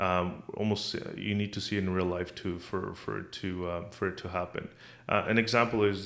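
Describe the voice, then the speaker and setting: A man talks at a fairly quick pace in a very deep, low voice. His intonation is monotone and flat. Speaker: podcast host. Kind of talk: casual chat.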